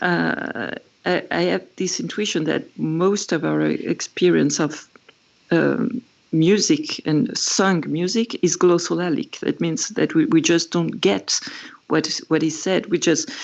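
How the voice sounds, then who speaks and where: A woman speaks with a French accent. Her pace is fairly slow. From France. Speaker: musician and writer on pop music. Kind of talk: casual chat. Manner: halting.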